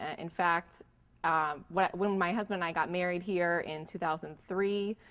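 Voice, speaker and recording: A woman's unremarkable speaking voice at a medium pitch, in a General American accent, with fairly even intonation and a moderate pace, on a very clean recording with a silent background. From Florida, Tampa. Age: 30s. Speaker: local resident. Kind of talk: personal storytelling interview.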